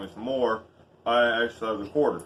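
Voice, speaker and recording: This man has a Southern US accent. He talks at a fairly quick pace. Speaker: YouTuber reviewing tools. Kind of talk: casual vlog tool review.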